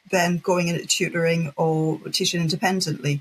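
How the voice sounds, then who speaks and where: A woman with a northeast English accent, somewhat breathy, at a moderate pace. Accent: northeast English (Geordie), noticeable. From northeast England, Wallsend (Tyneside). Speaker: language teacher and business founder. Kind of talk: podcast interview.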